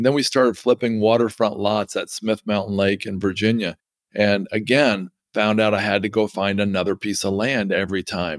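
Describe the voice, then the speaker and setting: A man with an ordinary speaking voice talks at a fairly low pitch and moderate pace, with fairly even intonation. The recording is very clean and dry, close, with a silent background and no echo. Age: 50s. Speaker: real estate investor. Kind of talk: interview.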